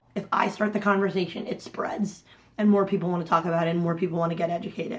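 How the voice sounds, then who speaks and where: A woman's animated, medium-pitched voice at a very fast pace. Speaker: vlogger and intersex advocate. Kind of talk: personal vlog.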